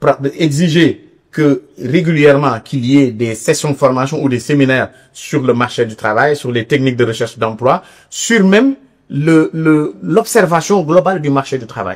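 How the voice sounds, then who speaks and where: Lively intonation from a man with a fairly high pitch, at a moderate speed. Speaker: labour inspector giving a seminar talk. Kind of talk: seminar lecture. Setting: university seminar room with audience. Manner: halting, with repetitions and fillers.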